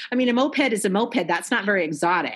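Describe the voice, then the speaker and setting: A woman speaks with an American accent. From Iowa. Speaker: guest.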